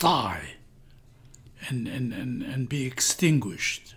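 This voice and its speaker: With vocal fry, a man speaks at a very slow pace. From Iraq. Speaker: community translator. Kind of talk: interview answer.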